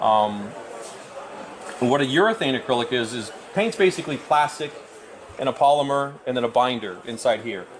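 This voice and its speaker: Over noticeable background noise, a man with an American accent talks at a fairly quick pace. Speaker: scale model builder and author. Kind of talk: live demonstration. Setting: event with live audience. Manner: fast.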